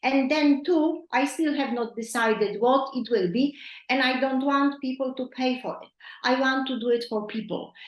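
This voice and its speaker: The speaker has a non-native accent and ordinary pitch variation. The pace is moderate. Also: woman, high pitch for a woman. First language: not English. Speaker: nutrition coach. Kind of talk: coaching call. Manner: halting.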